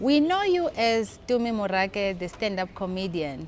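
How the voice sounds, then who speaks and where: With noticeable noise in the background, a woman talks at moderate speed. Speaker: interviewer. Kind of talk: interview questions.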